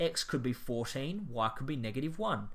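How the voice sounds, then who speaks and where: Speaking with an Australian accent, a man has a medium pitch, lively intonation and a bright, sharp tone. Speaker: maths teacher. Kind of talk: tutorial.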